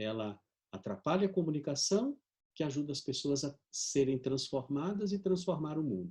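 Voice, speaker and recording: A fairly high-pitched man at a moderate pace, somewhat breathy, with a dark, mellow tone and very wide pitch swings. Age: 60s. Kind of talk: video conference talk. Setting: video conference. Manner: animated.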